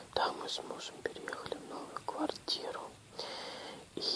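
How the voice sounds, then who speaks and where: A woman whispers very slowly against noticeable background noise. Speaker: ASMR video creator. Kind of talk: casual talk to camera. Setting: home, lying in bed. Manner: quiet, soft-spoken.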